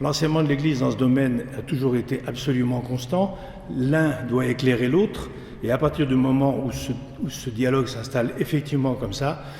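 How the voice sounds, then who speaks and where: A man's medium-pitched voice, fairly even in intonation, with audible room echo and noticeable background noise. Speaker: lecturer, association president. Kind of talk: lecture. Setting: church with audience. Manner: fast; halting, many repetitions.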